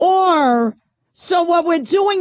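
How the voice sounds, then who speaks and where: A woman speaks with a strong New York accent. Her pace is fairly slow. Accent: thick New York. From New York City. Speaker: radio talk show host. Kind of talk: talk radio monologue.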